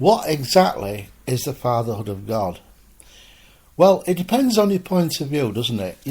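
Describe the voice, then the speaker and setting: This man's voice sits at a medium pitch and is somewhat breathy. His pitch swings very widely as he speaks at a moderate pace. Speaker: spiritualist minister. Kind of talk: spoken sermon talk.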